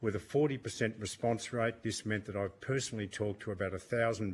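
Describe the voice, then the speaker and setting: A man speaks with an Australian accent at a moderate pace. His pitch variation is ordinary, and the recording is very clean with a silent background. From Australia, Melbourne. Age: 70s. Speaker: witness at parliamentary inquiry, campaign volunteer. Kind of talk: prepared statement to committee. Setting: parliamentary committee hearing.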